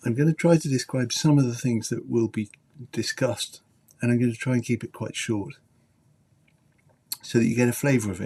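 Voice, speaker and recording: A man with a British accent, medium pitch and a dark, mellow, somewhat breathy tone, fairly quick pace with long, frequent pauses and ordinary pitch variation. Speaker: journalist and teacher. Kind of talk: live stream talk.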